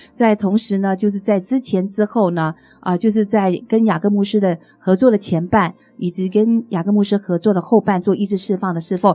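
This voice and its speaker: Dry and close with no echo, the voice has a dark, mellow tone, fairly even intonation and a fairly quick pace. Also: woman. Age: 50s. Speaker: pastor and evangelist. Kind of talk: testimony in interview. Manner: halting, many fillers.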